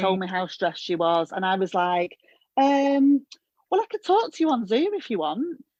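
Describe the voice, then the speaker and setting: A woman's fairly high voice with very wide pitch swings, at a moderate pace, in a dry, close sound with no echo. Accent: Northern English. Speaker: hairdresser coach, former therapist. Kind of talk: podcast interview answer.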